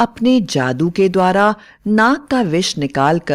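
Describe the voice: Lively intonation marks the delivery. It is plain reading aloud.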